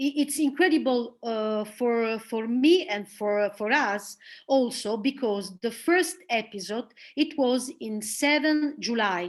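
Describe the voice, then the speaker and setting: Over a quiet background, a woman with an Italian accent speaks very slowly, her fairly high pitch carrying lively intonation. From northern Italy, Milan. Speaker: theater director and actress. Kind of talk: presentation and interview. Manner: halting.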